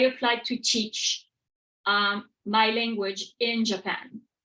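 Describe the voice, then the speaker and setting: A woman with a French accent speaks in a bright, sharp tone. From France. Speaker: professor. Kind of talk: lecture. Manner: hesitant, many fillers.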